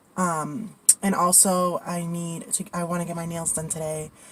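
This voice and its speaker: Noticeable background noise sits behind a woman whose fairly low pitch follows fairly even intonation. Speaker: lifestyle vlogger. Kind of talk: casual vlog. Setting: in a car.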